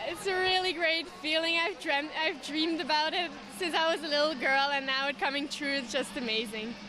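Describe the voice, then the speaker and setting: A woman's raised, projected voice, high in pitch with ordinary variation, at a fairly quick pace with hardly any pauses and audible room echo. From Belgium. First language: not English. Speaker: gymnast. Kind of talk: post-event interview.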